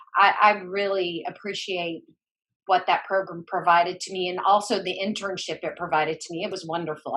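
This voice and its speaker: Talking at a fairly quick pace with an American accent, a woman uses a medium pitch with big swings in loudness. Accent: Southern accent, hosts say they hear it. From US South, mountains of North Carolina (Boone). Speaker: former school counselor and educator. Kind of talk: interview. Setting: podcast interview.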